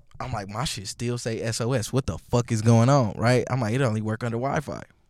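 With an American accent and a plain, everyday voice, a man speaks at a medium pitch. His intonation is fairly even and his pace fairly quick. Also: very clean recording, silent background. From Milwaukee, US Midwest. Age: 20s. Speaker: DJ. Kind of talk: casual chat.

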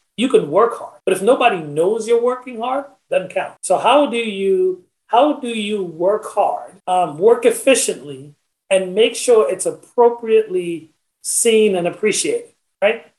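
Lively intonation at a fairly slow pace. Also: man, high pitch for a man. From Trinidad, then New York (Brooklyn, Long Island) from age ten. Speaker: corporate executive. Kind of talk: interview. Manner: halting, many repeated words.

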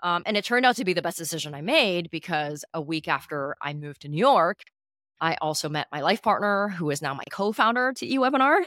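With a Canadian accent, a woman speaks at a very fast pace in a fairly low, bright, sharp voice, her pitch swinging very widely, in a very clean, dry, close recording with no echo and a silent background. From Canada (Calgary), early childhood in Hong Kong. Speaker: startup founder and CEO. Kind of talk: interview.

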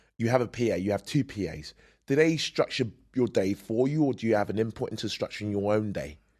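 Against a quiet background, a man with a British accent and a medium pitch talks at a very fast pace with ordinary pitch variation, the sound dry and close with no echo. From UK. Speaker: podcast host and bodybuilder. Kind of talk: interview conversation.

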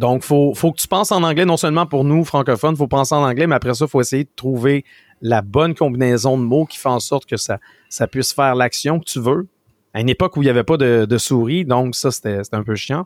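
In a very clean recording with a silent background and a dry, close sound with no echo, a man with a Quebec accent speaks fairly quickly at medium pitch with ordinary pitch variation. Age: 40s. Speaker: tech and video game commentator, streamer. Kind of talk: casual interview.

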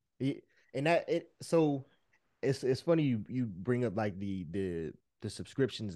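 Against a quiet background, a man speaks at medium pitch with a dark, mellow tone and lively intonation. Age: 30s. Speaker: podcast host. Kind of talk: casual chat.

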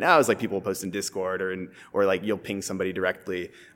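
A man with a Californian accent and a fairly low pitch, talking at a very fast pace on a very clean recording with a silent background. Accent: General American (California). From US West Coast, San Francisco. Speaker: startup co-founder and CTO. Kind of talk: casual interview chat.

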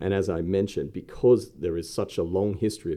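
A man talks at a fairly quick pace in an Australian accent. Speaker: investment company co-founder. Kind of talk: interview. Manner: hesitant, many fillers.

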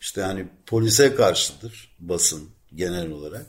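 A man with a plain, everyday voice, lively intonation and a fairly slow pace. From Ankara, Turkey. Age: 60s. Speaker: veteran journalist living in Athens. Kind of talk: casual interview about life story.

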